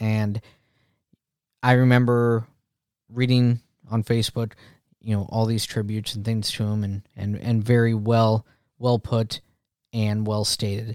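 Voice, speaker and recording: The speech is fairly slow with monotone, flat intonation. The recording is very clean, with a silent background and a dry, close sound with no echo. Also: man. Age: 40s. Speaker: podcast host. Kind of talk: casual podcast monologue. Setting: home recording.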